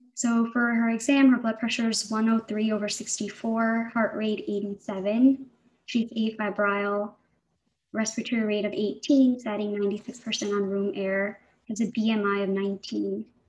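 A woman speaks at a very slow pace in a fairly high, somewhat breathy voice. Her intonation stays fairly even. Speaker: physician presenting a case. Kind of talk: case presentation. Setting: video call. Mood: calm, professional. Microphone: webcam.

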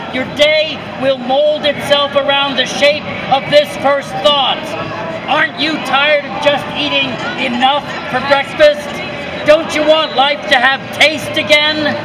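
Man speaking at a fairly slow pace over noticeable background noise. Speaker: poet performing in public. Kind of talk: poetry performance, spoken-word poem performed in public. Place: street. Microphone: phone near.

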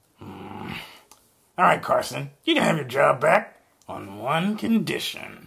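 A cartoonish character voice moves at a fairly slow pace with long, frequent pauses. Its loudness swings widely. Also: man. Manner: blunt, curt.

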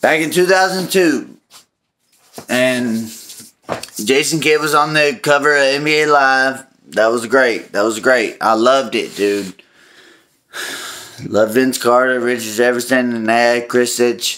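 This man talks at a fairly slow pace with long, frequent pauses and a bright, sharp tone. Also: ordinary pitch variation, very even loudness. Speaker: sports fan vlogger. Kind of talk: casual vlog chat. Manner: drunk, loose nostalgic rambling. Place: kitchen. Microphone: phone near.

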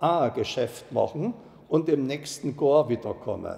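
A man with a Saxon accent speaks at a fairly high pitch. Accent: Ore Mountains dialect. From Ore Mountains, Bohemia. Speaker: dialect storyteller. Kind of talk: dialect story reading. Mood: calm, nostalgic. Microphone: lapel.

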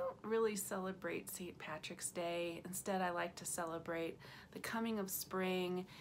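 Light background noise sits under the recording. A woman talks through it at a moderate pace. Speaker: vegan food vlogger. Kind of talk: casual vlog chat. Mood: cheerful, smiling, laughing. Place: home room. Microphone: phone near.

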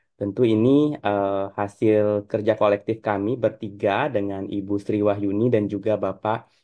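Against a quiet background, a man talks at a fairly low pitch. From West Kalimantan, Dayak. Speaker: academic panel chair. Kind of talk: online conference panel moderation. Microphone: video call.

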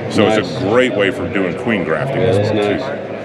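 A man talking at a very fast pace with ordinary pitch variation, music playing in the background. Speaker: booth vendor demonstrating beehive equipment. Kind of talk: product demonstration. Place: hall. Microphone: phone near.

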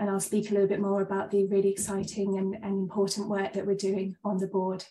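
Speaking fairly quickly at a medium pitch, a woman has a dark, mellow, somewhat breathy tone and monotone, flat intonation. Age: 30s. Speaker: GP and cancer survivor. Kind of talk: presentation.

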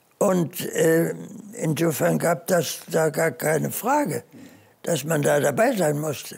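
A man at a very slow pace. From Germany. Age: 80s+. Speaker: war veteran. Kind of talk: interview answer. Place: home room.

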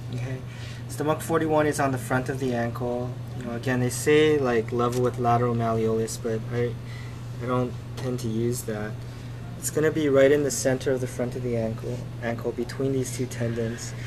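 With noticeable background noise behind him, a man speaks at a moderate pace in a monotone, flat intonation. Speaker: acupuncture instructor. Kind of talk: tutorial. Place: home room. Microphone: camera far.

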